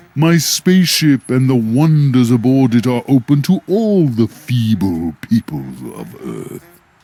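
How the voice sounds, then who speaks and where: A man adopts a put-on character voice, pitched medium and delivered fairly slowly. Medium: video game. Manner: grandiose, falsely friendly, chuckling.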